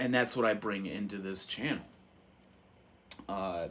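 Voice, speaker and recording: A loud voice with a bright, sharp tone. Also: man. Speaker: YouTuber reviewing movies and physical media. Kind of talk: casual monologue to camera. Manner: animated.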